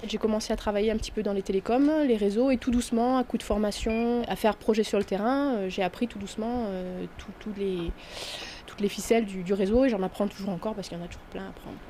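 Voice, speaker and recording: Amid noticeable background noise, a woman talks at a very fast pace in a fairly high pitch, her intonation fairly even and her loudness swinging widely. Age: 30s. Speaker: network administrator. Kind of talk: interview testimony. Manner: hesitant, many fillers.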